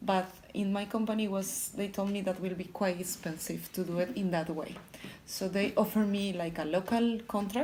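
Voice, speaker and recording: The voice moves at a moderate pace with fairly even intonation. Audible room echo and noticeable background noise are present. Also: woman. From Colombia, Bogota. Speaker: electrical engineer in sales. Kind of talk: interview. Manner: halting.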